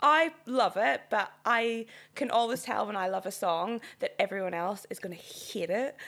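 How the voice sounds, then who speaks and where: The speaker is a woman with a Northern Irish accent and a fairly high pitch. The recording is very clean, with a silent background. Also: lively intonation, moderate pace. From Northern Ireland. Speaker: podcast guest. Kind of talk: casual chat.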